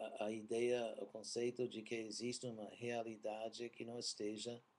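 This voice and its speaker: Speaking fairly slowly, a man keeps his intonation monotone and flat. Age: old. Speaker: Hare Krishna spiritual teacher. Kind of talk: religious talk; answering viewer questions. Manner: hesitant, many fillers.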